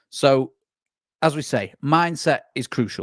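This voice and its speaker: Recorded very cleanly with a silent background and a dry, close sound with no echo, a man speaks at a fairly slow pace and medium pitch. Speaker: sales consultant. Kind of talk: masterclass presentation.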